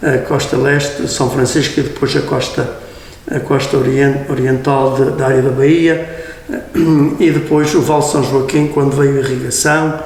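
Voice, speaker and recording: A man with a fairly high pitch speaks at a fairly slow pace in a monotone, flat intonation and very even loudness, with audible room echo and noticeable background noise. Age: 70s. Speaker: priest. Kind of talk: interview. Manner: halting.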